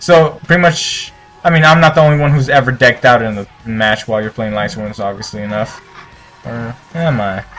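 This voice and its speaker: Against music in the background, a man of medium pitch speaks at a fairly quick pace with lively intonation. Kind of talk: casual deck profile commentary. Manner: stumbling, many filler words.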